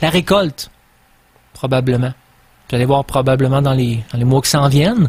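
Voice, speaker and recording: With a Quebec accent, a man speaks at a moderate pace in a fairly high voice with fairly even intonation, over noticeable background noise. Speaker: radio host. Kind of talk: radio monologue. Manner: halting.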